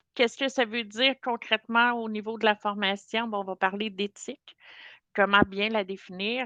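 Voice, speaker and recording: A woman with a fairly high pitch talks at a fairly slow pace in a bright, sharp tone. The sound is dry and close with no echo, and the background is quiet. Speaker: corporate trainer. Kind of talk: webinar training session.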